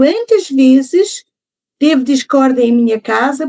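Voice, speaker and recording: The delivery is fairly slow, with lively intonation and a dry, close sound that has no echo. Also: woman. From Portugal. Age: 70s. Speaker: podcast guest. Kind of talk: interview conversation.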